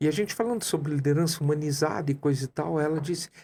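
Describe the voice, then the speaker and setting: A man's somewhat breathy, dark and mellow voice, fairly high in pitch, at a very fast pace with fairly even intonation. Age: 60s. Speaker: coach and entrepreneur. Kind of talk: podcast interview.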